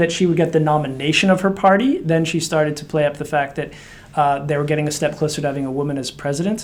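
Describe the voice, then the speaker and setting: A man is speaking. He has an American accent. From United States. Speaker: director of a women's political leaders network. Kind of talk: interview.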